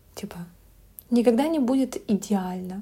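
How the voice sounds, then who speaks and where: The voice is somewhat breathy with a dark, mellow tone, moving at a moderate pace. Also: woman. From Belarus. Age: 20s. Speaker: blogger. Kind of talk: casual chat.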